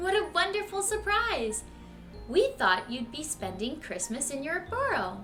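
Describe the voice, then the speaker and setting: A woman uses a put-on character voice, pitched high and delivered at a moderate pace. Background noise is clearly audible. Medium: read story.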